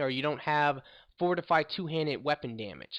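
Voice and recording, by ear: Lively in intonation, a man talks with a fairly high pitch and a fairly bright tone.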